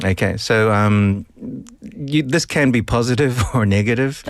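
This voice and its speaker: This man talks at a fairly slow pace, keeping very even loudness and ordinary pitch variation. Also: medium pitch for a man. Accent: New Zealand. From New Zealand. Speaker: English teacher explaining vocabulary.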